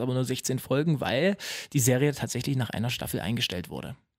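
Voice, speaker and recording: An ordinary speaking voice from a man at a medium pitch. He keeps a moderate pace on a very clean recording with a silent background. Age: 20s. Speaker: new podcast co-host. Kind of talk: casual chat.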